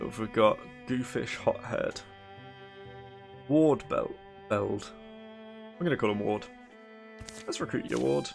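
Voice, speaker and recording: With music in the background, a man speaks at a very slow pace, with long, frequent pauses and big swings in loudness. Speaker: let's play gamer. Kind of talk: casual gameplay commentary.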